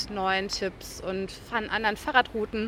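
Hers is an unremarkable speaking voice, a woman's at medium pitch with fairly even intonation. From western Germany, Ruhr area (Velbert). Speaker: journalist and travel guide author. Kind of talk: interview. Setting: outdoors at a kiosk square.

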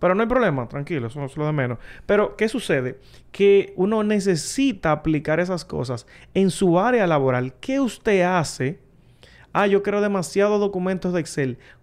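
Against a quiet background, a man speaks at a moderate pace with a high pitch and lively intonation. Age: 30s. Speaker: tech content creator. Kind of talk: casual chat.

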